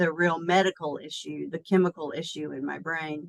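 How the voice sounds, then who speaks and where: With an American accent, a woman speaks at a fairly slow pace in a fairly low pitch. Her intonation is fairly even, and the sound is dry and close with no echo. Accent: Southern US, toned down. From US South. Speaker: executive coach. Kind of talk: interview. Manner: hesitant, many fillers.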